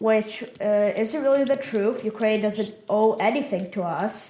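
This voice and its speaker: Moderate pacing, ordinary pitch movement and a fairly high voice from a woman. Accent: Russian. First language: Russian. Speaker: podcast co-host. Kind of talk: casual political discussion. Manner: hesitant, many fillers.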